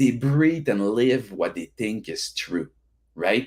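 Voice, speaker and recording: On a very clean recording with a silent background, a man with a French Canadian accent speaks fairly slowly, with vocal fry and very wide pitch swings. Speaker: event host introducing speakers. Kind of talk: informal, enthusiastic motivational speech.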